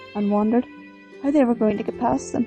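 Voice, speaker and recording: Music plays in the background as a woman speaks. Her pitch is fairly high, with ordinary variation. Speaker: storyteller. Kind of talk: storytelling narration of a myth, read aloud.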